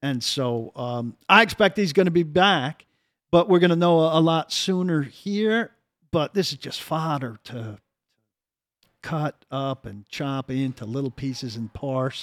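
With a plain, everyday voice, a man speaks fairly slowly at a fairly high pitch, with lively intonation and big swings in loudness, in a very clean, dry, close recording with a silent background and no echo. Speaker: sports talk show co-host. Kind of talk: casual sports talk banter. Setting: studio.

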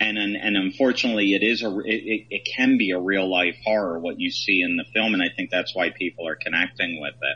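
A man with an American accent talks at a fairly quick pace, with hardly any pauses and ordinary pitch variation. Music plays in the background. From Philadelphia area, then Michigan. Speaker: film director. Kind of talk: casual interview chat.

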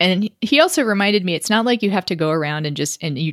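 A woman with an American accent speaks at a moderate pace, her medium pitch carried by lively intonation in an unremarkable speaking voice. The recording is very clean with a silent background, and the sound is dry and close with no echo. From Texas, Austin. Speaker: political columnist and podcast host. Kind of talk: interview conversation.

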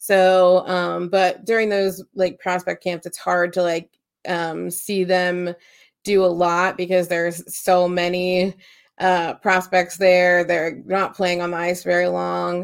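Speaking at a very slow pace, a woman keeps a monotone, flat intonation. Her pitch is fairly low. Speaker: podcast co-host. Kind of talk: casual chat.

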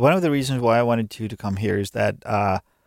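A man speaks with a Finnish accent and ordinary pitch variation on a very clean recording with a silent background. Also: dry, close sound with no echo. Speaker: podcast host and gym owner. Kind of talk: interview. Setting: studio.

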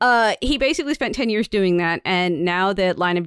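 A woman with an unremarkable speaking voice talks at a medium pitch with lively intonation. The sound is dry and close with no echo, on a very clean recording against a silent background. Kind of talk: casual podcast chat. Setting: home recording, cat outside door.

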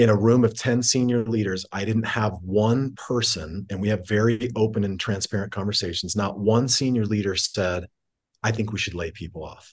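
A man talks in an ordinary speaking voice at a moderate pace, fairly low in pitch. His intonation is fairly even, and the background is quiet. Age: 40s. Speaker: tech company CEO. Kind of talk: interview conversation.

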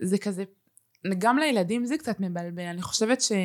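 A woman with a plain, everyday voice talks at a fairly quick pace and medium pitch with ordinary pitch variation. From Israel, family from Uruguay. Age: 20s. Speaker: influencer and content creator. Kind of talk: casual interview chat.

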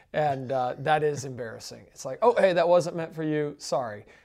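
A man with a Southern US accent, fairly high pitch with ordinary variation, and a fairly quick pace, on a very clean recording with a silent background. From US South. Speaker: podcast co-host. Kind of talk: casual Q&A chat about Bible questions.

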